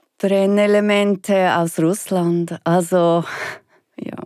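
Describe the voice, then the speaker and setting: The voice has a dark, mellow tone and monotone, flat intonation at a very slow pace. The recording is very clean with a silent background and a dry, close sound with no echo. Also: woman. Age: 60s. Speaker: anti-nuclear activist and woodturner. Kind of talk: interview conversation.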